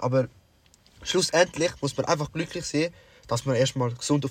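A somewhat breathy man's voice, fairly high in pitch, at a fairly quick pace with ordinary pitch variation. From Sri Lanka. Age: young. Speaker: podcast co-host. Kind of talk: casual chat.

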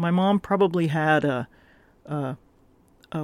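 With an American accent, the speaker goes at a fairly slow pace in a very clean recording with a silent background. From Florida, US South. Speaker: podcast host. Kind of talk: solo monologue podcast. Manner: frequent filler ums and repetitions.

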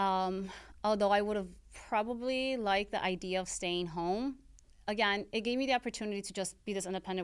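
In a very clean recording with a silent background, a woman talks at a fairly quick pace in a normal speaking voice of medium pitch. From US, Mexican-American family. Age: 30s. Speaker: podcast host and hairstylist. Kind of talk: personal monologue.

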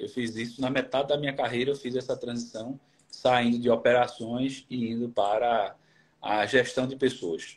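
His pitch medium and his intonation monotone and flat, a man talks at a moderate pace. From Brazil, Pernambuco (Recife). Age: 40s. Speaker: HR manager. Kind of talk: interview on a live stream.

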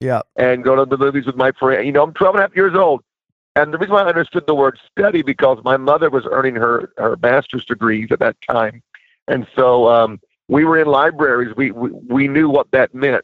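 With an ordinary speaking voice, a man talks at a fairly quick pace and a fairly high pitch. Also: ordinary pitch variation. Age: 50s. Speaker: minister and author. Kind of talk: interview.

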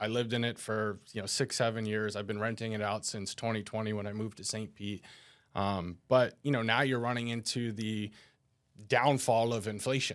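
A man talks with a normal speaking voice and an American accent, at a medium pitch and a moderate pace. His intonation stays fairly even, and the recording is very clean with a silent background. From New Jersey. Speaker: financial advisor. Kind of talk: casual chat.

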